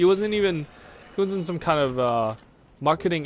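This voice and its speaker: A man's high-pitched, animated voice moves at a fairly quick pace with lively intonation. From Hong Kong. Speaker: gaming video creator. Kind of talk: casual storytelling; let's play commentary.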